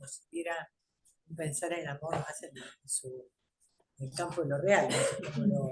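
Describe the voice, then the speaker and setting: Somewhat breathy, a woman speaks with a fairly low pitch. She keeps a moderate pace and ordinary pitch variation. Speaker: psychoanalyst discussing a seminar. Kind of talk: seminar discussion.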